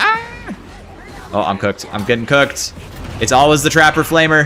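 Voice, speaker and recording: An animated tone at a moderate pace with ordinary pitch variation, over noticeable background noise. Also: man. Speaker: game streamer. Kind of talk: live gameplay commentary.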